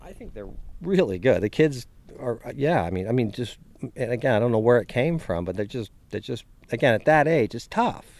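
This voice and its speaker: Here a man with an unremarkable speaking voice talks at medium pitch and a fairly quick pace. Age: 60s. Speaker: professional golfer. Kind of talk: interview answer.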